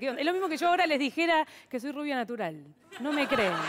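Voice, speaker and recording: Amid crowd noise in the background, a woman talks at a very fast pace with lively intonation. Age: 30s. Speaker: stand-up comedian and biotechnologist. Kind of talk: stand-up comedy. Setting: TV studio with audience. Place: stage. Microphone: headset.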